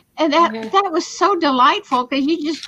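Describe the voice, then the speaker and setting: A woman uses a raised, projected voice with a bright, sharp tone. She talks very fast. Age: 70s. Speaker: podcast host. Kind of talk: casual chat. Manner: animated.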